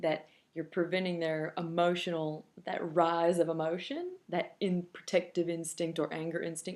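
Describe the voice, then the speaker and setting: A woman with a fairly low pitch talks at a moderate pace in a monotone, flat intonation. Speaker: parenting blogger. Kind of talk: tutorial. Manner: loud; casual, conversational with fillers.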